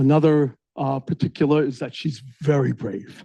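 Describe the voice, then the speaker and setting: The man's tone is dark and mellow, and he talks at a moderate pace. The sound is dry and close, with no echo. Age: old. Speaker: professor. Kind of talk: seminar introduction. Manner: quieter than usual.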